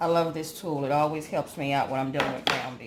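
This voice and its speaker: A woman speaks very fast in a very deep, low voice with monotone, flat intonation. Audible room echo and noticeable background noise fill the recording. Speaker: home cooking channel host. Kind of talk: cooking tutorial.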